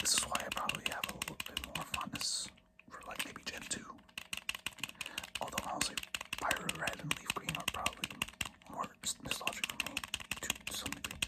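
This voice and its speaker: Someone whispers at a fairly quick pace, with long, frequent pauses and noticeable background noise. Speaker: ASMR creator. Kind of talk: ASMR rambling about game collection. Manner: soft-spoken.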